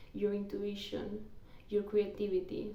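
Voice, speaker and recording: A woman's medium-pitched voice with a dark, mellow tone and a non-native accent, plus audible room echo. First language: not English (English is third language). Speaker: tarot reader. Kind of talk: tarot reading; casual personal aside. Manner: halting with repetitions.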